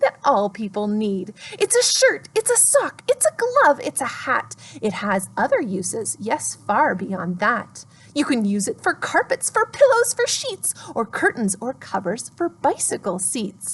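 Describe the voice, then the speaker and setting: Using a put-on character voice, a woman sounds gruff and high-pitched at a moderate pace. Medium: read story. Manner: gruff, secretive.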